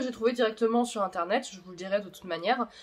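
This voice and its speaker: Noticeable background noise sits behind a woman's fairly high-pitched voice. She talks at a fairly quick pace. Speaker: YouTuber explaining manga theories. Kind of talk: video commentary on manga theories.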